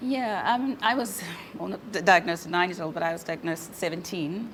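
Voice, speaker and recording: Noticeable background noise is present. The woman speaking keeps a moderate pace. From South Africa, Cape Town. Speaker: forensic accountant, arthritis patient. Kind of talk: interview testimony. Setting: video call. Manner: halting, many fillers.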